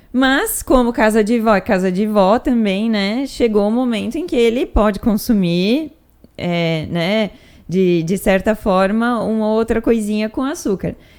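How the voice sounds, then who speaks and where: A normal speaking voice from a woman, fairly high-pitched, with lively intonation at a fairly slow pace. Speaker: nutritionist and podcast host. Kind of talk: casual talk to camera, educational podcast.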